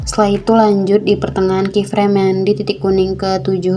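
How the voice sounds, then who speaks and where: With music in the background, the speaker moves at a fairly quick pace and keeps the intonation fairly even. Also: woman. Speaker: video editing tutorial creator. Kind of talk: tutorial. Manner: casual.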